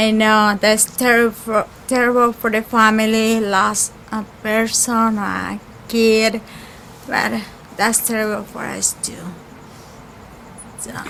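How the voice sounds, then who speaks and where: Speech in a Spanish accent comes very slowly, with long, frequent pauses and big swings in loudness. The intonation is monotone and flat, with noticeable background noise. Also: woman, fairly high pitch for a woman. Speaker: caterer's worker. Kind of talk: memorial tribute.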